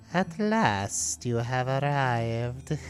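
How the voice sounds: The speaker uses a put-on character voice at a low-to-middle pitch. Background noise is clearly heard.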